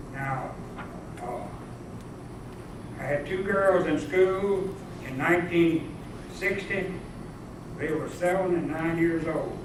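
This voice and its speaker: At a fairly slow pace, a man speaks in a high pitch with fairly even intonation. Noticeable background noise and audible room echo surround him. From US South. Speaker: civil rights era witness. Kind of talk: talk to a class.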